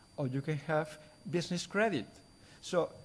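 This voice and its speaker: A man with a Spanish accent speaks at a moderate pace in a fairly high pitch, his pitch varying in an ordinary way. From Spain. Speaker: conference speaker. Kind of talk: lecture. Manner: halting.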